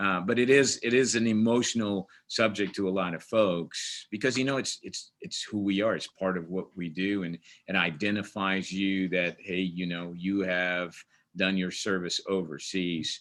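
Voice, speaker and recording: Man with an American accent, very deep and low in pitch, at a moderate pace with fairly even intonation. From Portugal. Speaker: army command sergeant major. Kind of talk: webinar interview. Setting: video webinar.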